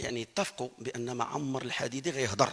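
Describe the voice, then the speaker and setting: This man's tone is bright and sharp, his pitch medium. He talks at a moderate pace. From Morocco. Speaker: Quran reciter. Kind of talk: testimony. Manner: halting.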